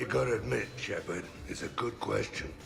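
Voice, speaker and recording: Over clear background noise, a man does a put-on character voice that is raspy and very deep, low in pitch, moving at a fairly quick pace. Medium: video game. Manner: gravelly, sardonic.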